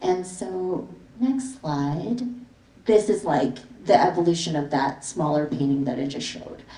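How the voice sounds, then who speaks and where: A woman with a fairly low pitch and very wide pitch swings is heard over noticeable background noise. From Canada, immigrated from the Philippines as a child. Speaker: visual artist. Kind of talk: artist talk with slides. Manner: casual, many fillers.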